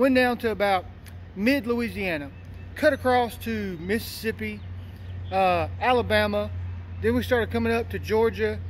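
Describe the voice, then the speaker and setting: A man talks at a fairly slow pace. Light background noise sits behind him. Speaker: vlogger. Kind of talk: casual vlog chat. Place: street. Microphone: phone near.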